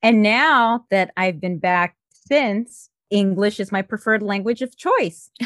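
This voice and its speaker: In a Spanish accent, a woman speaks at a fairly high pitch with ordinary pitch variation, her voice dry and close with no echo against a quiet background. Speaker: podcast host. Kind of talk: casual interview.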